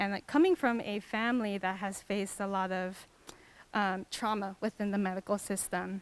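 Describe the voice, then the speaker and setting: In a very clean recording with a silent background, a woman with an American accent speaks at a moderate pace with fairly even intonation. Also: medium pitch for a woman. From US West Coast, Los Angeles area. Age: 20s. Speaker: physician and community healer. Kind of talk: panel discussion.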